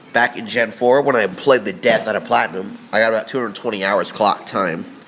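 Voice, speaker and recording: A man talking at a fairly quick pace with ordinary pitch variation, noticeable background noise behind him. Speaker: gaming video maker. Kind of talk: casual countdown monologue. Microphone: echoey room.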